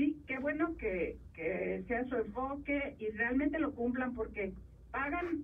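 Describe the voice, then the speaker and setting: With lively intonation, a woman talks in a high voice. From Mexico, Jalisco (Sayula). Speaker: columnist and TV commentator. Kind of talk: interview. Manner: halting, many fillers.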